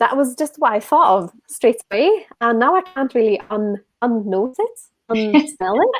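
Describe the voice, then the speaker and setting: A woman speaks with a Swedish accent. Her pitch is high and her pace fairly slow. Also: lively intonation. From Sweden. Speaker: whisky influencer and event host. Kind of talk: casual chat, live online tasting.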